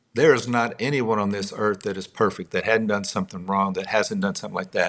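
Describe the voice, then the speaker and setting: With a Texas accent and lively intonation, a man is heard in a very clean recording against a silent background. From Texas, Midland. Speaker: songwriter and author. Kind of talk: interview conversation.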